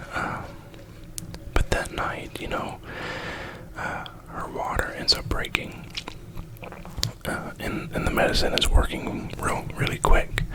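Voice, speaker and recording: Whispering over noticeable background noise, a man goes at a fairly slow pace with long, frequent pauses and big swings in loudness. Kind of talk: ASMR whisper ramble. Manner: whispered.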